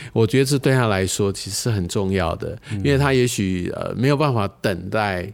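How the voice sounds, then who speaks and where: Speaking at a moderate pace with hardly any pauses, a man uses a fairly low pitch and ordinary pitch variation. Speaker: bank executive, finance guest. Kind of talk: interview. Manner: hesitant, filler-heavy.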